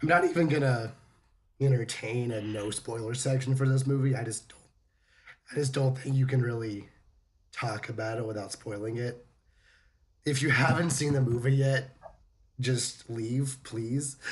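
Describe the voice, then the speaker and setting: A man with a medium pitch speaks at a moderate pace, sounding somewhat breathy. He leaves long, frequent pauses. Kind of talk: casual podcast conversation.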